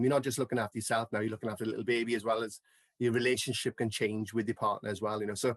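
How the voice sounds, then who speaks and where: A man with a South Wales Valleys accent, medium in pitch and very fast, in a dry, close sound with no echo over a quiet background. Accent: Welsh (South Wales valleys). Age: 40s. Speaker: mental health advocate. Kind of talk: podcast interview.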